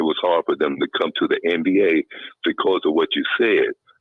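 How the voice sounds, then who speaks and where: A man with a North Carolina accent speaks at a moderate pace. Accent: Southern US (North Carolina). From US South, Kinston, North Carolina. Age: 60s. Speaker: caller. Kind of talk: phone-in call. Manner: halting, many fillers.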